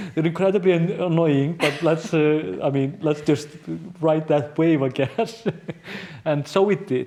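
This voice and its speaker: A man with a strong Icelandic accent speaks at a fairly slow pace. There is noticeable background noise. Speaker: journalist and news show host. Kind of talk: podcast conversation. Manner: halting, many fillers and repeats.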